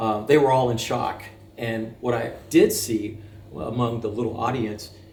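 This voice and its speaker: This man talks at a moderate pace with medium pitch and fairly even intonation. Audible room echo and noticeable background noise fill the recording. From France. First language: French. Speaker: military veteran. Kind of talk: interview.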